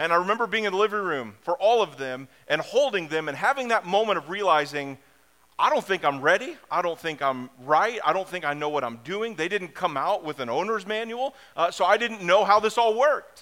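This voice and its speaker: A man's high, bright, sharp voice, raised and projected, with an American accent at a fairly quick pace. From US Midwest, downstate Illinois. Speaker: pastor. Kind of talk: sermon.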